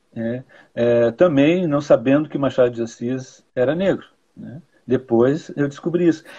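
A man speaks at a fairly slow pace, his volume swinging widely. His pitch sits fairly high with ordinary variation, and his tone is dark and mellow. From Rio Grande do Sul, Brazil (city of Rio Grande). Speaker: poet and critic. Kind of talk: interview conversation. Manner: hesitant, with frequent fillers.

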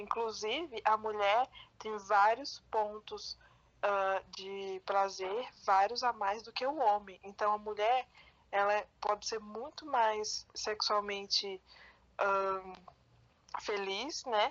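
Speaking at a very slow pace, a woman has a fairly high pitch and fairly even intonation. Her loudness swings widely. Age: 20s. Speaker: podcast co-host. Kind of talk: casual chat.

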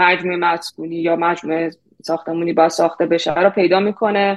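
Monotone, flat intonation at a moderate pace. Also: woman. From Iran. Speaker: product manager. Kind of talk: interview.

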